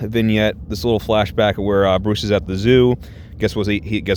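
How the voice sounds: A natural reading voice moves along with fairly even intonation.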